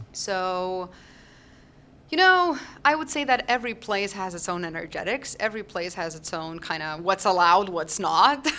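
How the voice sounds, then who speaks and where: In a Lithuanian accent, a woman talks at medium pitch and a moderate pace with lively intonation, a bright, sharp tone and big swings in loudness, on a very clean recording with a silent background. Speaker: holistic health doctor and teacher. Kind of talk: podcast interview.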